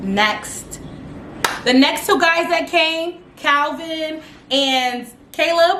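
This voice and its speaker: A raised, projected voice comes at a very slow pace with long, frequent pauses and very even loudness. Noticeable background noise and audible room echo are present. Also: woman, extremely high pitch for a woman, ordinary pitch variation. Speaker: youtuber reviewing reality TV. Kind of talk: casual vlog recap. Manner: animated, dramatic.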